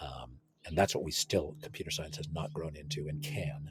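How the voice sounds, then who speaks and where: A man with an American accent talks at a moderate pace, his voice somewhat breathy. His pitch makes very wide swings. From California. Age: 60s. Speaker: computer science researcher. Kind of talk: interview conversation. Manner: halting, many repetitions.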